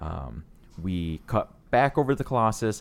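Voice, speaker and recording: A man's voice with very wide pitch swings at a moderate pace, on a very clean recording with a silent background. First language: non-English, English is second language. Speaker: podcast co-host. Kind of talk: casual chat review.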